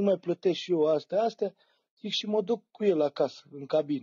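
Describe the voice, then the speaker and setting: A man at a fairly quick pace, high in pitch with ordinary pitch variation, against a quiet background. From Romania. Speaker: storyteller. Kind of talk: casual chat. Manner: animated. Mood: joking, relaxed. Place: home room. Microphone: phone near.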